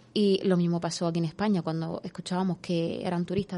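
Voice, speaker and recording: A woman's dark, mellow voice with monotone, flat intonation. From Spain, raised by Moroccan parents. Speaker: intercultural mediator. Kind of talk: radio interview. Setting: radio studio.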